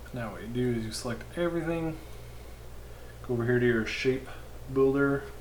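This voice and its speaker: A man's mumbling at medium pitch, with long, frequent pauses, big swings in loudness, audible room echo and noticeable background noise. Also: ordinary pitch variation, fairly quick pace. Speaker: live streamer doing web design. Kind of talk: live stream tutorial. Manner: mumbling to himself.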